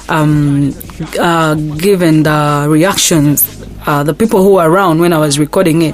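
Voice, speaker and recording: Fairly even intonation and very even loudness at a moderate pace, over noticeable background noise. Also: woman, very deep, low pitch for a woman. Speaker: rapper. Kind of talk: interview. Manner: soft-spoken.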